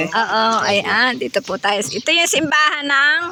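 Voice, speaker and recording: A fairly slow pace with noticeable background noise. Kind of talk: casual vlog narration to camera. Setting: outdoors. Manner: polite, upbeat.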